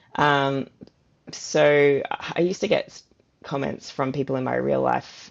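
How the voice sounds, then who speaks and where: A woman with an Australian accent. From Gold Coast, Australia. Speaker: fantasy author. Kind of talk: interview answer.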